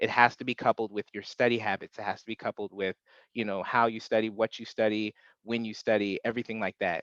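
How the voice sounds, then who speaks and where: At a very fast pace, a man talks in a medium, monotone, flat voice, the sound dry and close with no echo over a quiet background. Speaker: webinar presenter, exam prep instructor. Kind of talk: webinar presentation. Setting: video call webinar. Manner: hesitant, many filler words.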